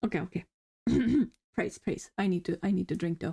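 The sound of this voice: A woman puts on a character voice that is raspy and hoarse, with a fairly low pitch. She speaks at a fairly quick pace with fairly even intonation and very even loudness.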